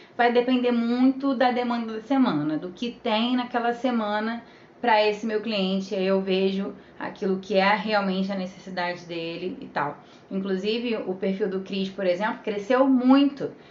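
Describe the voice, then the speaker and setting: Fairly high female voice at a moderate pace, with ordinary pitch variation. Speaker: social media manager. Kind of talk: live stream tutorial. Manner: animated.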